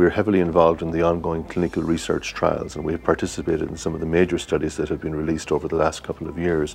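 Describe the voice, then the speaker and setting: Noticeable background noise sits behind a man with a very deep, low pitch. He talks at a very fast pace in a monotone, flat intonation. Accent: Irish. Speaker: cardiologist. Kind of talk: interview.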